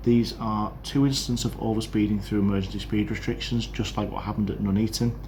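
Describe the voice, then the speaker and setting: Someone with a British accent speaks at a fairly quick pace, with audible room echo. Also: man. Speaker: podcaster on railway safety. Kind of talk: casual monologue update. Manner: fast.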